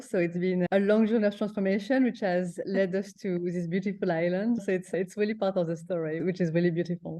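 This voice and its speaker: A woman with a French accent speaks fairly quickly at a medium pitch. Her tone is dark and mellow, and her intonation fairly even. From France. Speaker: breathwork coach. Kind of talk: interview. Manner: halting.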